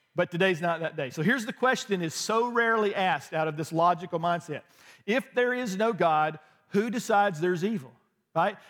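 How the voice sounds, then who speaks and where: Loud and animated, a man speaks at a high pitch and a fairly quick pace with lively intonation. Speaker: pastor. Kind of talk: sermon. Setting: church.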